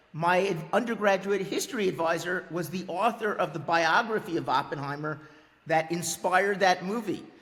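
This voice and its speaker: A man's high-pitched voice with an American accent, at a moderate pace and with fairly even intonation, over noticeable background noise. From US Northeast, New York City. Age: 60s. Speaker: history professor. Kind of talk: interview. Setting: video podcast. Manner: halting, repeats words.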